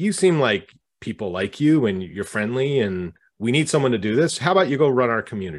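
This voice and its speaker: A man speaks at a moderate pace in an ordinary speaking voice, medium in pitch, with lively intonation. The background is quiet. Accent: Canadian. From Canada. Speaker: author and community manager. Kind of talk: casual interview.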